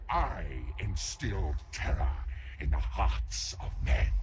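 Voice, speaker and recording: A man puts on a booming character voice with a very deep, low pitch. Loud background noise runs behind him. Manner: sassy, arrogant.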